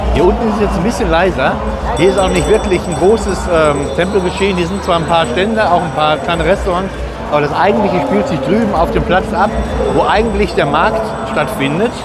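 Music can be heard behind the voice. The talking goes at a fairly quick pace. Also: man, ordinary pitch variation, dry sound with no echo. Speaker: travel vlogger. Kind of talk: casual vlog chat. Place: market. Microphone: phone near.

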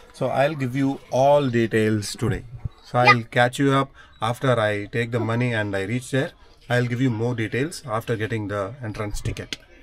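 A man at a moderate pace, fairly even in intonation, with light background noise. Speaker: family vlogger. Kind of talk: casual vlog chat. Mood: cheerful, relaxed. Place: car. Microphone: phone near.

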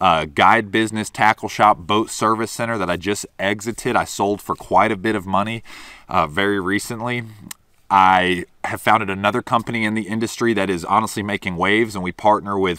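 A man's fairly low, bright, sharp voice at a fairly quick pace, dry with no echo against a quiet background. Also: fairly even intonation. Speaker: fishing content creator. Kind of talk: casual vlog chat. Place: open country.

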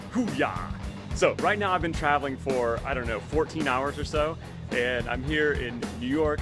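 A man talks at a fairly quick pace while music plays clearly in the background. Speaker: fitness coach. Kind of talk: casual vlog chat. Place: station. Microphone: phone near.

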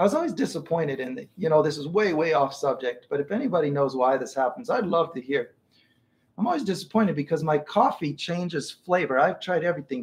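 A man is talking here. His pace is fairly quick, with ordinary pitch variation. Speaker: art teacher. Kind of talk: live stream tutorial chat. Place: home room. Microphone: earbuds.

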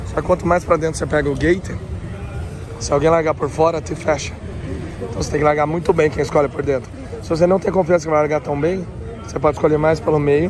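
A man talks at a very fast pace in a fairly high pitch, with long, frequent pauses. The sound is dry with no echo, and there is noticeable background noise. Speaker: motocross vlogger and riding instructor. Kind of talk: casual vlog commentary at event. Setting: outdoors at racetrack. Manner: animated. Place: open country. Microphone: phone near.

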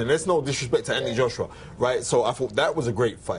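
At a very fast pace, a man with medium pitch speaks in a somewhat breathy voice. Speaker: boxing pundit. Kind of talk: casual chat. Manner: animated.

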